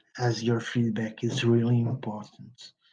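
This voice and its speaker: A man with a non-native accent, medium in pitch, somewhat breathy and dark, mellow in tone, in a flat monotone at a very slow pace. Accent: non-native English, working on pronunciation. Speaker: podcast host, game publisher. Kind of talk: solo podcast monologue. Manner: halting, repeats words.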